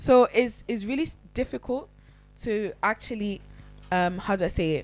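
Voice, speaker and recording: Music plays behind a woman speaking at a moderate pace. Her intonation is lively. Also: medium pitch for a woman. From Italy, Nigerian family. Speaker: podcast co-host. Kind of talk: casual chat. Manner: halting, many fillers.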